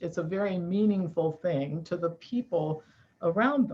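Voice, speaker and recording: A woman speaks at a moderate pace in a somewhat breathy, fairly low voice. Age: 60s. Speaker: nutrition expert and author. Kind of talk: interview. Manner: animated.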